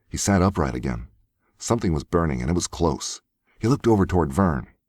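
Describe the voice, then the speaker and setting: Here a man speaks at a very deep, low pitch with vocal fry. His pitch swings very widely. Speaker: voice actor. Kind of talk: audiobook narration. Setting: home studio.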